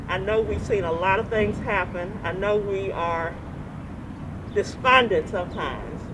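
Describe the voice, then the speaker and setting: A woman speaks at a fairly slow pace in an Alabama accent. Noticeable background noise and audible room echo fill the recording. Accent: Southern US (Alabama). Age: 60s. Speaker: city council member. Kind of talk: interview.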